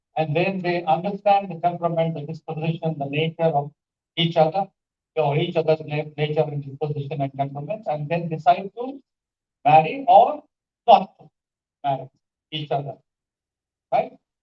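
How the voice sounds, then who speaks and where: Long, frequent pauses break up a man's moderate-paced speech, his voice fairly high with an Indian accent, ordinary pitch variation and big swings in loudness. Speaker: English language professor. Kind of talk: conference panel talk. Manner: animated.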